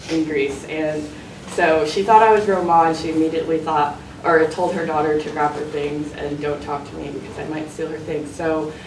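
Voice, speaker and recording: A woman's very deep, low pitch at a moderate pace, with audible room echo and noticeable background noise. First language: not English. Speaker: student. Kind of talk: panel talk. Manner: halting.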